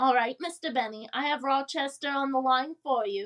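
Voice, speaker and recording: A woman's put-on character voice, high in pitch, with ordinary pitch variation at a moderate pace. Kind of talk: 1940s radio comedy acting. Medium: audio drama.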